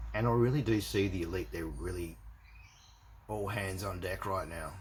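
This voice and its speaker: A man's very deep, low voice with vocal fry and an Australian accent, at a moderate pace with ordinary pitch variation and audible room echo. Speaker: religious video blogger. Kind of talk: casual monologue to camera. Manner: halting, many fillers and repetitions.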